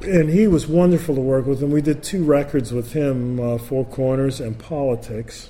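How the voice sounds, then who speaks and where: A man talks with a fairly high pitch and ordinary pitch variation. His pace is moderate, with hardly any pauses. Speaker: jazz bassist. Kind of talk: interview. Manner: talkative, long-winded.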